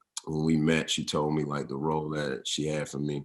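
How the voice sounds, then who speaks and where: A man with a very deep, low pitch speaks in a Southern US accent. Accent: Southern Atlanta drawl. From US South, Atlanta (College Park), Georgia. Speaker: actor and model. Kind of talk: interview. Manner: casual, halting with fillers.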